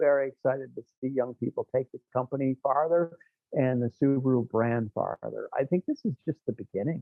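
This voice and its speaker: Music plays in the background as a man talks at a moderate pace and medium pitch. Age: 60s. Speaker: rally team founder. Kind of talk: interview conversation. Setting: podcast interview. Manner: halting, with many fillers and restarts.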